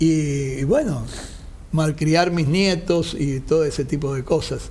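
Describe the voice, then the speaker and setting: At a very slow pace, a man speaks with fairly high pitch and fairly even intonation amid audible room echo. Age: 60s. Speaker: construction company founder, engineer. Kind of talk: interview.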